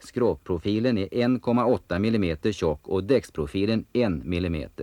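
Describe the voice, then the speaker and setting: A man talks at a moderate pace in a normal speaking voice, fairly low in pitch. His intonation is lively. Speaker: documentary voice-over narrator. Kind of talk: documentary slideshow narration.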